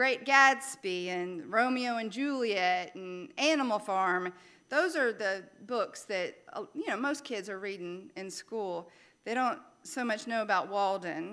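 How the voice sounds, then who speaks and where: On a very clean recording with a silent background, a woman with a Louisiana accent speaks at medium pitch and a fairly slow pace, her tone bright and sharp and her intonation lively. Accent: Southern US (Louisiana). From Louisiana, US South. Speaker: minister. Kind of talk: sermon.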